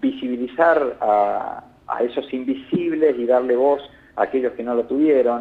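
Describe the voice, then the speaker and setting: A man with a northern Argentine accent speaks at a fairly slow pace. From northern Argentina (Salta). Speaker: telecom regulator board member. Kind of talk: interview.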